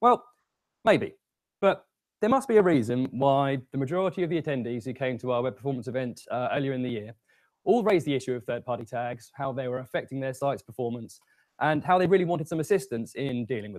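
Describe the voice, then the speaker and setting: A man with a British accent talks at a very fast pace in a medium pitch, his intonation lively and his loudness swinging widely, on a very clean recording with a silent background. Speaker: conference speaker. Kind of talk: tech talk.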